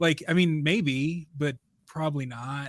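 In an ordinary speaking voice, a man with an American accent talks at a fairly high pitch with fairly even intonation, on a very clean recording with a silent background. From US Midwest. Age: 30s. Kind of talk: casual philosophical discussion.

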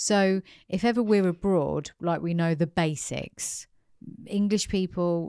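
A woman with a British accent speaks at a fairly slow pace in a dark, mellow tone, on a very clean recording with a silent background. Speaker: podcast host. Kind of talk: interview.

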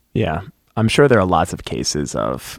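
With vocal fry and a moderate pace, the voice comes through in a dry, close sound with no echo. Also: man. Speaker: teacher. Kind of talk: casual chat. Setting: studio.

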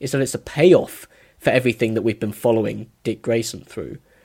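A moderate pace in a British accent. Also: man. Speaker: YouTube film reviewer. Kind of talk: casual chat. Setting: remote call.

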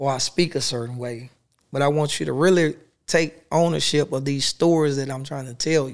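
A man speaks at a moderate pace with a fairly high pitch, in a very clean recording with a silent background. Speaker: poet. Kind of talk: casual interview chat.

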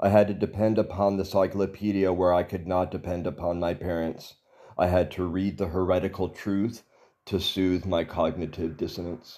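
This man's voice sits very deep and low, with a dark, mellow tone and a flat, monotone delivery. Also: moderate pace, very clean recording, silent background. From Texas. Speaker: personal essayist. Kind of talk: scripted narration.

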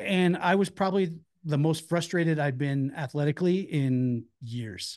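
In an ordinary speaking voice, a man with a fairly high pitch talks at a moderate pace with ordinary pitch variation against a quiet background. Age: 50s. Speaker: bounty hunter and former MMA fighter. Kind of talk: casual chat.

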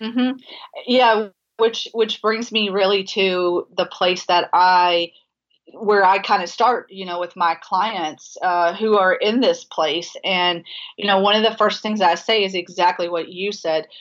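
A woman with a plain, everyday voice talks fairly slowly, keeping a medium pitch and fairly even intonation. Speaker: dietitian and sports nutrition expert. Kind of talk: casual interview conversation. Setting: phone call.

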